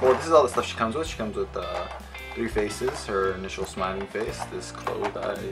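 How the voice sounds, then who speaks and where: Clear music plays in the background while a man speaks at a moderate pace. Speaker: figure reviewer. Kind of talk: casual review commentary. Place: home room. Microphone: phone near.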